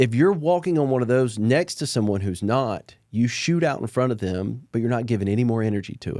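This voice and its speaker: In a Southern US accent, a man with a dark, mellow tone talks fairly quickly at medium pitch with lively intonation and hardly any pauses, on a very clean recording with a silent background. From Alabama. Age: 40s. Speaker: entrepreneur. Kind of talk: podcast interview. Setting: studio.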